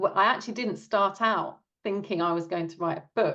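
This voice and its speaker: A woman talks with a British accent. Her pace is moderate and her pitch varies in an ordinary way. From Britain. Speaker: author. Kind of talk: interview.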